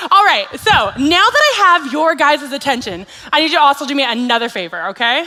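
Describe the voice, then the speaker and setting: Over noticeable background noise, a woman projects a raised, high-pitched voice with very wide pitch swings. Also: fairly quick pace. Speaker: children's ministry staff, special speaker. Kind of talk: addressing children at a church worship night. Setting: church kids' event, on mic, camera. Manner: animated, enthusiastic; loud.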